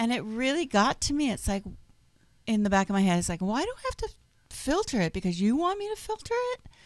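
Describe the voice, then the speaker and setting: Loud and very fast, the speech has an animated tone and very wide pitch swings, broken by long, frequent pauses. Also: woman, high pitch for a woman. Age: 50s. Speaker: online radio talk show host. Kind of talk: casual chat.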